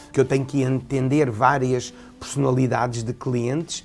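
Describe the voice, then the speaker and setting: A man speaks in a European Portuguese accent. Noticeable background noise can be heard. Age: 50s. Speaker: fashion designer. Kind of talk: interview. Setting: his atelier.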